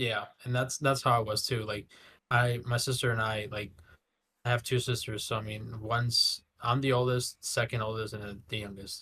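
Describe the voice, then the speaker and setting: With a Spanish accent, a man speaks at a moderate pace in a bright, sharp tone with monotone, flat intonation. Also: medium pitch for a man. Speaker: podcast co-host. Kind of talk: casual chat.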